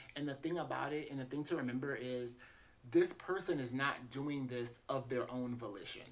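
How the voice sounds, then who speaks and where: A soft-spoken man with an American accent, medium in pitch, at a moderate pace with ordinary pitch variation. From US South, south Louisiana. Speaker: therapist. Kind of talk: informal talk to camera. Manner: calm, relaxed.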